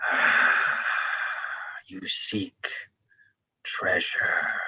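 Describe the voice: Someone speaks loudly in a put-on character voice.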